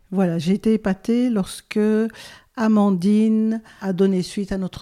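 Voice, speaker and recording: In a very clean recording with a silent background, a woman speaks at a fairly slow pace with fairly even intonation. Her tone is dark and mellow, and the sound is dry and close with no echo. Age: 70s. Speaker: volunteer advisor. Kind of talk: interview.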